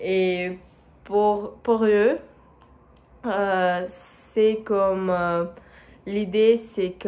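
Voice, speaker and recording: Speaking very slowly at a medium pitch, a woman keeps her intonation fairly even. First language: not French (speaking French). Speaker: French learner vlogger. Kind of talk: solo monologue for language practice. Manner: halting, many hesitations.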